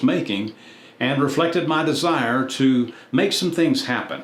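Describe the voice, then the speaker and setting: This man's voice carries audible echo from the room. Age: 70s. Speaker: YouTube content creator. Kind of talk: personal reflective narration.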